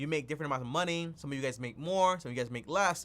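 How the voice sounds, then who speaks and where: This is a man speaking. His pitch is fairly high. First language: not English. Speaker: personal finance youtuber. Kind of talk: live stream talk. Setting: live stream with zoom calls. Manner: casual, repetitive fillers.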